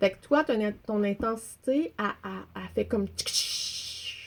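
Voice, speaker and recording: Speaking in a Quebec accent, a woman of medium pitch sounds somewhat breathy. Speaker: storyteller. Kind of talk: casual chat.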